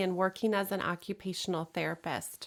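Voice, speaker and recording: In a very clean recording with a silent background, a woman talks with a slight Minnesota accent. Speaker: podcast host. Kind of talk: interview.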